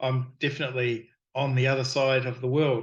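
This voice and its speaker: Somewhat breathy, a man with a New Zealand accent talks at a medium pitch and a moderate pace. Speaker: miniature sculptor and game designer. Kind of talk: casual interview chat. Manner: halting, with many fillers.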